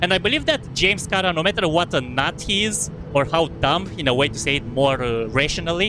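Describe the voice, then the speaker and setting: A man speaks with a Romanian accent and lively intonation. Noticeable background noise is present. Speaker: gaming streamer. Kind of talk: live gameplay commentary. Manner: fast; halting, self-correcting.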